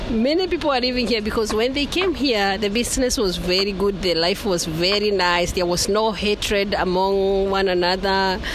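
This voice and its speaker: Room echo and noticeable background noise surround a woman speaking at medium pitch and a moderate pace, with ordinary pitch variation. Her loudness stays very even and she hardly pauses. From Kenya, Murang'a. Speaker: market trader. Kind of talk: interview. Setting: market shop.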